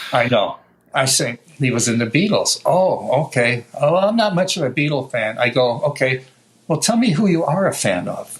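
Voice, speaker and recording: Over noticeable background noise, a man with an American accent speaks at a fairly high pitch with very wide pitch swings. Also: moderate pace. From New York. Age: 70s. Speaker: guitar maker. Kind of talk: interview. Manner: animated.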